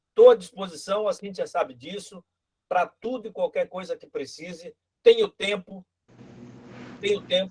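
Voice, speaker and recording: This man's pitch varies in an ordinary way. The audio is dry and close, without any echo. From Brazil. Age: 60s. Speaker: political candidate. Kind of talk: political speech in virtual meeting. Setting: video call. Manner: halting, repeats words.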